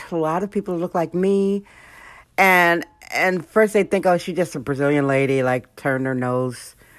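On a very clean recording with a silent background, an animated speaker with an American accent talks at a moderate pace with lively intonation. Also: woman. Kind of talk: solo monologue podcast.

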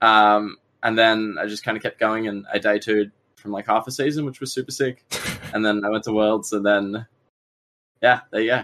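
A man with an Australian accent and a bright, sharp tone, fairly even intonation, a moderate pace and long, frequent pauses. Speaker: Pokemon card player. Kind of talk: casual chat. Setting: live stream.

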